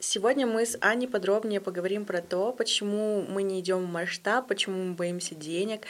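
This woman talks at a fairly quick pace in a medium pitch. Her intonation stays fairly even, and there is noticeable background noise. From Russia, Yekaterinburg. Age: 20s. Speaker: podcast host. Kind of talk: casual interview.

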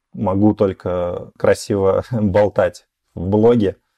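A man talks in a fairly low, dark, mellow voice with fairly even intonation. The sound is dry and close with no echo over a quiet background. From small Russian village. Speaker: blogger. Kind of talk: casual chat.

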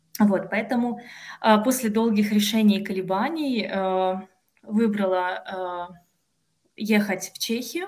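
At a very slow pace with long, frequent pauses, a woman speaks in a somewhat breathy, medium-pitched voice with ordinary pitch variation. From Russia, Kostroma. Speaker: PhD student in philology. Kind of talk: podcast interview. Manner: hesitant, frequent filler sounds.

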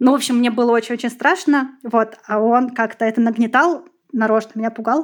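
An ordinary speaking voice comes through at a moderate pace with fairly even intonation. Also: woman. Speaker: special education teacher. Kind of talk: personal testimony.

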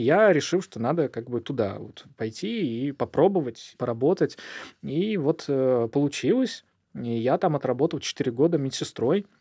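Speaking at a moderate pace, a man uses lively intonation. The recording is very clean and dry, close with no echo and a silent background. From southern Russia, Volzhsky near Volgograd. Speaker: doctor, founder of a charity clinic. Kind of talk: interview. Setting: studio.

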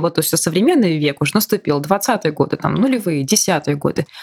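A woman at a very fast pace against noticeable background noise. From Bashkortostan, Russia. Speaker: podcast host. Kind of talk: interview.

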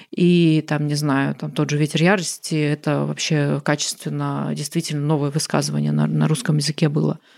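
At a moderate pace, the woman talks with hardly any pauses. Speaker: writer and poet. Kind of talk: casual interview conversation.

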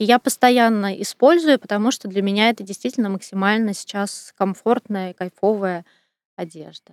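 A woman speaks at a moderate pace in a plain, everyday voice. The sound is dry and close, with no echo. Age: 40s. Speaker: personal stylist. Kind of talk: interview.

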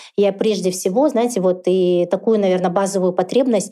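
Over noticeable background noise, a woman talks at a fairly quick pace with medium pitch and ordinary pitch variation. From Kazakhstan, Karaganda. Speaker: entrepreneur, founder of a dental clinic chain. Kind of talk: interview conversation.

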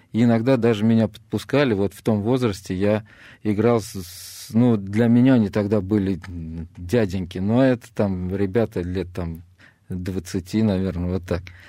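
A man speaks at a fairly slow pace in a dark, mellow tone with ordinary pitch variation. His fairly low voice sits on a very clean recording with a silent background. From Russia, Samara (Kuibyshev). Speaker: retired footballer, club legend. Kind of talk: radio interview. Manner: hesitant, with filler sounds.

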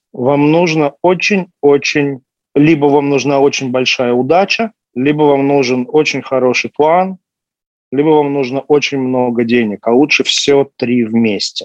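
In a normal speaking voice, a man with a fairly high pitch speaks at a fairly slow pace with ordinary pitch variation and very even loudness, the sound dry and close with no echo. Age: 30s. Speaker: pharmaceutical businessman. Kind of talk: casual interview.

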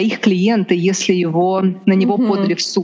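Over noticeable background noise, a woman with a Russian accent speaks at a fairly slow pace, with a medium pitch and fairly even intonation. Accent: Russian accent in English, permanent. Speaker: lawyer. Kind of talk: interview conversation.

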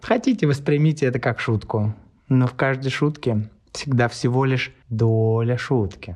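A man speaks at a medium pitch, fairly slowly and somewhat breathily. His loudness stays very even, with ordinary pitch variation over a quiet background. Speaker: podcast host. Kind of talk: casual interview chat.

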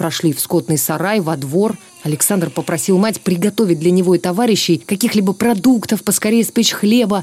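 Over noticeable background noise, a woman delivers her lines in a dramatic tone with very even loudness and ordinary pitch variation. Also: medium pitch for a woman, moderate pace. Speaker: TV presenter reading aloud. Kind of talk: reading aloud a 1944 war sketch, solemn narration of partisan combat and reprisals. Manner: measured, grave, formal; tense, dramatic, narrating with restrained emotion.

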